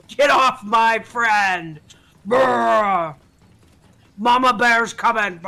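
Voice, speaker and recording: A man's bellowing, put-on character voice, high in pitch, at a very slow pace with long, frequent pauses. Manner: roaring, fierce.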